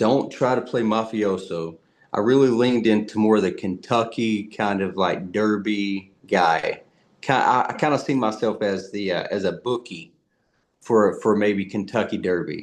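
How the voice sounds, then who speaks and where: In a Southern US accent, a man with a fairly low pitch keeps a moderate pace and fairly even intonation. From US South. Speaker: actor. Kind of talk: interview. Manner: halting, many fillers and repeats.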